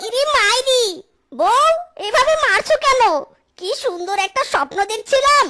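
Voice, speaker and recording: This cartoonish character voice sits at an extremely high pitch, sounding whiny and moving at a moderate pace. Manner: exclamatory, whiny, uses folksy oaths.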